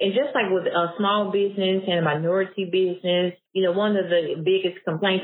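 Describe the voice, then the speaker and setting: A woman talks at a moderate pace in an Arkansas accent. Her pitch is medium. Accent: Southern US (Arkansas). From US South, Blytheville, Arkansas. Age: 30s. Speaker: grant consultant and business founder. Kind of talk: interview conversation.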